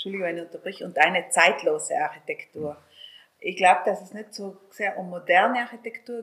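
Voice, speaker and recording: Delivered at a moderate pace with ordinary pitch variation, the speech comes in a South Tyrolean accent. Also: woman. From South Tyrol, Italy. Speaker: hotelier. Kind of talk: interview.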